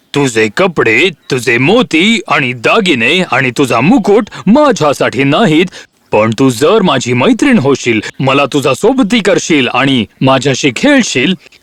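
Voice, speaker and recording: A man's put-on character voice, croaky and fairly high-pitched, at a very slow pace. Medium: cartoon. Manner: croaking interjections.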